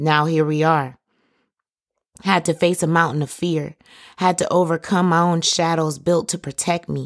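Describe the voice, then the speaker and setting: A woman talks in a confident tone with monotone, flat intonation. Long, frequent pauses break her speech on a very clean recording with a silent background. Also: moderate pace. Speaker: podcast host and poet. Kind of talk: poet spoken word. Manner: rhythmic, rhyming flow, confident and defiant.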